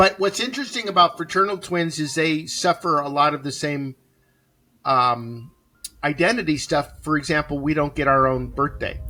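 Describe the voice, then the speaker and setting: A man speaks in a normal speaking voice at a moderate pace, fairly high in pitch with ordinary pitch variation. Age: 60s. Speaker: podcast co-host. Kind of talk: casual planning chat.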